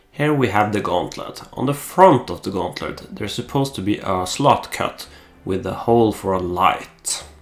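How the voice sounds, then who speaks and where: A man with a Norwegian accent speaks at a moderate pace in a fairly low voice, his intonation lively, with noticeable background noise behind him. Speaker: costume maker. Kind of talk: voice-over narration. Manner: hesitant, many filler pauses.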